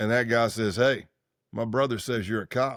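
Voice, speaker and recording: In a very clean recording with a silent background, a man with an American accent speaks at a moderate pace in a medium pitch with fairly even intonation. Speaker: former undercover federal agent. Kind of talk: interview. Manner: casual, conversational.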